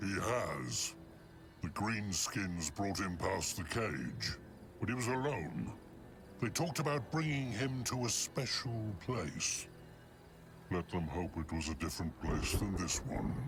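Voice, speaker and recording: Over clear background noise, a man uses a put-on character voice at a fairly low pitch and a fairly slow pace. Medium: video game. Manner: speaks of himself in the third person.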